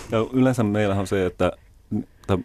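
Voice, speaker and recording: A man with an unremarkable speaking voice, fairly low in pitch, fairly even in intonation and fairly quick in pace. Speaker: guest. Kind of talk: radio interview.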